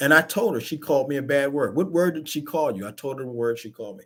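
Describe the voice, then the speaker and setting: In a very clean recording with a silent background, a man with an American accent talks in a fairly high pitch with lively intonation. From Baltimore area, Maryland. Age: 60s. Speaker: talk show host. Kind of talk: personal storytelling on a live talk show. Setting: live stream show. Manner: halting, repeats words.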